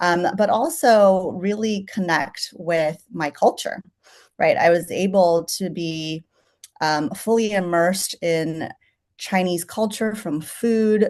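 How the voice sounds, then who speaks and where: Against a quiet background, a woman with a medium pitch speaks very slowly. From San Francisco Chinatown, US West Coast. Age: 40s. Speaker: chef. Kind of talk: interview. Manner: conversational, many fillers.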